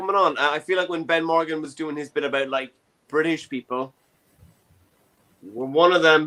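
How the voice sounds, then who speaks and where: With a Dublin accent, a man speaks at a fairly quick pace but with long, frequent pauses, his fairly high-pitched voice bright and sharp in tone, his intonation fairly even and his loudness swinging widely. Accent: Irish (Dublin). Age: 20s. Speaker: comedy show host. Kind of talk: casual chat. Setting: online show from his bedroom.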